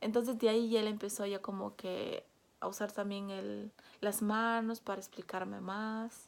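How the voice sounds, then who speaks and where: Speaking fairly slowly, a woman holds a medium pitch in a monotone, flat delivery. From Peru. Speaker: vlogger. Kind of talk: personal storytelling vlog. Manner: casual, with fillers and hesitations.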